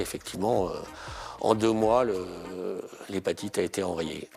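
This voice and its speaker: This man's voice sits fairly low. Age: 60s. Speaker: retired patient giving testimony. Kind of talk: testimony. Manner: halting, many hesitations.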